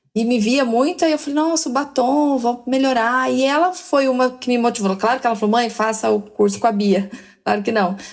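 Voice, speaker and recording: A woman's high-pitched voice moves at a moderate speed, its pitch rising and falling in a typical way. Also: very even loudness. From Brazil, Minas Gerais. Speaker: educational counselor. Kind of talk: casual podcast conversation.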